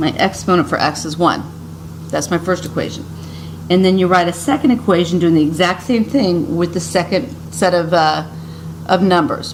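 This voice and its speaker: Over noticeable background noise, a woman speaks at a moderate pace with long, frequent pauses. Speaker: high school math teacher. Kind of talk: recorded lesson for students. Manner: casual, with hesitations.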